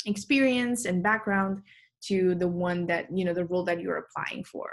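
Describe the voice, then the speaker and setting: The background is quiet as a woman speaks with a Romanian accent. Her voice sits at a medium pitch. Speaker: tech recruiter. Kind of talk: presentation. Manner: frequent filler words.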